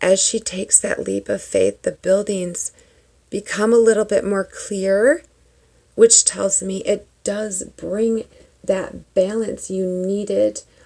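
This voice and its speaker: Whispering, a woman speaks at a very slow pace. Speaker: tarot reader and spiritual vlogger. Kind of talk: tarot reading. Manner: animated.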